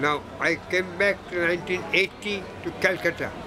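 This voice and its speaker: A man with a Bengali accent speaks at a high pitch in a monotone, flat way. Music plays in the background. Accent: Indian English, Bengali. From Kolkata, India. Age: 80s+. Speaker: sketch artist and art teacher. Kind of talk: interview answer. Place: hall. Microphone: phone near.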